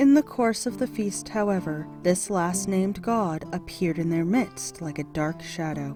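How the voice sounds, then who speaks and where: Over music in the background, a woman with an American accent speaks fairly slowly in a calm, soothing tone, her fairly low pitch showing ordinary variation. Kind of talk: audiobook reading of mythology.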